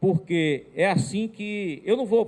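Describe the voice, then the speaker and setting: A man talks with ordinary pitch variation. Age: 60s. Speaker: union trainer / social security speaker. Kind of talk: lecture. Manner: halting.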